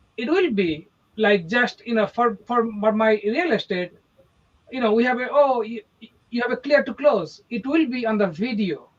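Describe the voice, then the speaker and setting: Speaking with an Indian accent, a man talks at a moderate pace in an extremely high pitch with lively intonation. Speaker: real estate agent. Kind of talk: casual chat.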